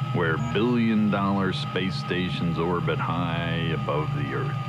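Music plays in the background. A man is speaking. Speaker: advert narrator. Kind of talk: advert voice-over. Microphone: old recording.

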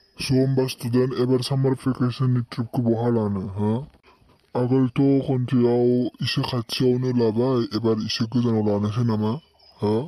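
A man puts on a cartoonish character voice at medium pitch. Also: moderate pace. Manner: questioning, prompting.

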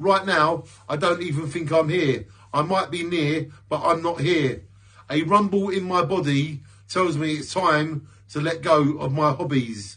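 The voice has a bright, sharp tone and ordinary pitch variation, moving at a fairly slow pace over a quiet background. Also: man. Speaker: poet and video creator. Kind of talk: spoken word poetry. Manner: introspective, rhythmic, earnest delivery; reflective, warm sign-off. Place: home room. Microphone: phone near.

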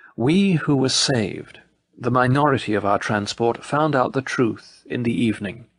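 The voice is a man's, medium in pitch, an ordinary speaking voice. He keeps a moderate pace, ordinary pitch variation and very even loudness. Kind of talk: audiobook narration, reading aloud a memoir. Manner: measured, solemn, formal.

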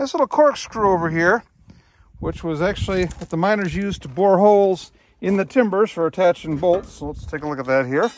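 With lively intonation, a high-voiced man speaks at a fairly quick pace. His loudness swings widely over light background noise. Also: dry sound with no echo. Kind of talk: casual vlog chat. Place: open country. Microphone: phone near.

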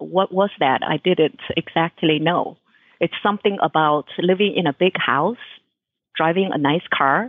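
With a Chinese accent, a woman talks at a fairly slow pace, her loudness very even and her pitch variation ordinary. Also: fairly low pitch for a woman. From China. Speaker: author and holistic health coach. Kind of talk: interview. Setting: radio show.

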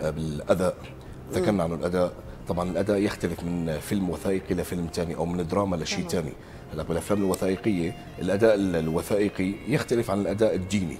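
Over music in the background, a man with a very deep, low voice talks at a fairly quick pace with fairly even intonation. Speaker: voice-over artist and trainer. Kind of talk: TV morning show interview answer. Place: studio. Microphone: lapel.

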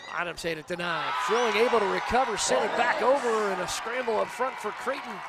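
The speaker sounds excited, talking with hardly any pauses over noticeable background noise. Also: fairly quick pace. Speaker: volleyball play-by-play commentator. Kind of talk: rapid-fire volleyball highlight play-by-play. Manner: brisk clipped calls with excited 'oh' exclamations.

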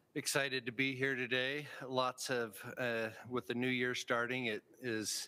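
At a fairly slow pace, a man speaks in a monotone with flat intonation. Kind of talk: formal meeting report. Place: meeting room.

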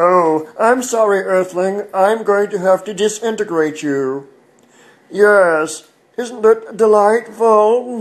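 Using a put-on character voice, a man speaks at a high pitch. His pace is very slow. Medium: voice reel. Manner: polite, prim, calmly indignant.

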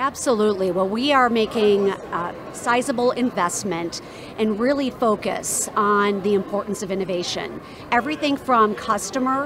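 A woman speaks at a moderate pace with ordinary pitch variation, the sound dry with no echo and the background noise noticeable. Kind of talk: interview answer. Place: hall. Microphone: handheld.

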